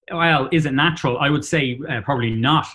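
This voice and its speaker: A man talks at a moderate pace with a Dublin accent. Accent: Dublin Irish. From Ireland, Dublin. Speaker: company CEO. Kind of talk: interview. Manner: hesitant, many fillers.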